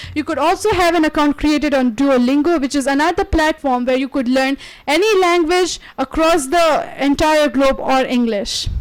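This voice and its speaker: A woman speaks at a moderate pace in a high voice, with ordinary pitch variation and very even loudness. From India, Maharashtra. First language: Marathi. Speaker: guest lecturer. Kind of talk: lecture.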